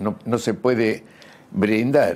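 Vocal fry runs through a man's voice. He speaks with lively intonation. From Argentina, Buenos Aires province. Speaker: burn surgeon, scientist. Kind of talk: interview. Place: home room. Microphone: lapel.

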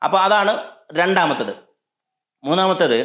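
Audible room echo surrounds a man talking against a quiet background. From Kerala. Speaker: leadership coach. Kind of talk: motivational talk to camera. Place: home room. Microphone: lapel.

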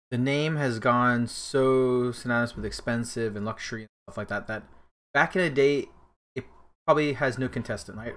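The pace is moderate, and the pitch shifts in an ordinary way. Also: man. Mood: relaxed, laughing. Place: home room.

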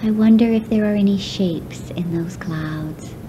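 A woman speaks fairly slowly while noticeable noise sits in the background. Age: 40s. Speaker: relaxation guide. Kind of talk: guided relaxation. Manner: slow, soft-spoken.

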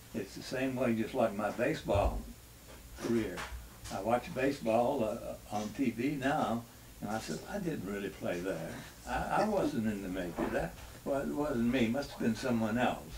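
Noticeable background noise sits behind a man with a Southern US accent talking at a moderate pace. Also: lively intonation. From North Carolina. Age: 80s+. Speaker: retired baseball pitcher and war veteran. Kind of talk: interview answer. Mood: reflective, reminiscing. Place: home room.

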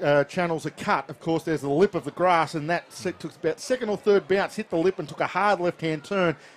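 With an Australian accent, a man talks at a fairly quick pace with hardly any pauses. His pitch is high, with ordinary pitch variation. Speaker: baseball commentator. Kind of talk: live sports commentary. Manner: fluent play-by-play, brisk and descriptive.

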